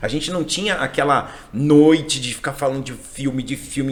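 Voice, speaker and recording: Speaking in an animated tone, a man has a fairly high pitch and a moderate pace. Noticeable background noise sits behind him. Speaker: English teacher. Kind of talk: casual chat.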